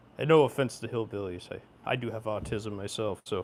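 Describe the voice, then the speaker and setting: A man with an American accent talks at a moderate pace, his pitch varying in an ordinary way. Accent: rural Oregon accent, comes out sometimes. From rural Oregon. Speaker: sewing livestreamer. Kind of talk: casual livestream chat.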